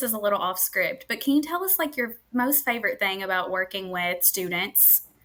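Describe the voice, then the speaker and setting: A woman's bright, sharp tone in a Kentucky accent, with very wide pitch swings. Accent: US Southern (Kentucky). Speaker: podcast host, staffing market manager. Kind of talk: casual interview podcast. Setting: live stream.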